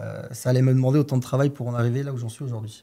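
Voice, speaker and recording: Talking at a very fast pace, a man delivers his medium-pitched, dark, mellow tone with fairly even intonation. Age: 20s. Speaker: trader. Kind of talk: podcast interview. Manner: hesitant, many filler sounds.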